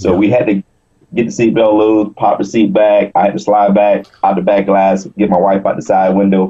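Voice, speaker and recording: In an American accent, a man speaks at a moderate pace with a fairly low pitch and monotone, flat intonation against a quiet background. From US South, South Carolina. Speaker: wheelchair bodybuilding champion. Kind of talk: interview. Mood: recounts a car crash story. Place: home room. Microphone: video call.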